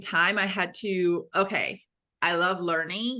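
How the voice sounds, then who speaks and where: A woman speaks with a Brazilian accent at a very slow pace, her pitch fairly low. Her tone is bright and sharp, the intonation fairly even, over a quiet background. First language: Portuguese. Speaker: fitness coach for women. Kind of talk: podcast interview.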